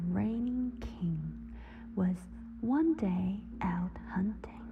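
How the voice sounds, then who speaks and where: Music plays in the background as the voice moves at a very slow pace. The tone is soothing. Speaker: simultaneous interpreter reading English fairy tales. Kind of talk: sleep story, bedtime fairy tale reading. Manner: slow, soothing.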